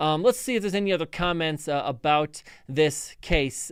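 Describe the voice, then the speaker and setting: A man talks at a moderate pace with an American accent. His pitch is high, with ordinary variation. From Chicago area, US Midwest. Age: 40s. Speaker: police officer and legal commentator. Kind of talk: live stream commentary. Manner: halting, many fillers and repetitions.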